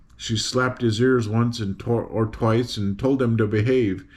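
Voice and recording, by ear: The intonation stays fairly even as the speaker is reading aloud in a natural voice.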